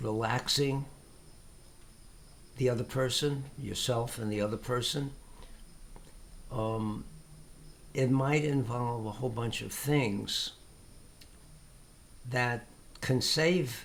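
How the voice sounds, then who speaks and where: A somewhat breathy man at medium pitch, speaking at a very slow pace with long, frequent pauses. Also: fairly even intonation. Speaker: tai chi teacher. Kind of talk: casual talk to camera. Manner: hesitant.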